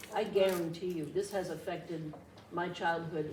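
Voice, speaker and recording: Noticeable background noise and audible room echo surround the recording. A woman with a fairly low voice speaks at a moderate pace. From New Hampshire. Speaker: resident speaking at town meeting. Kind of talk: public comment. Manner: quiet.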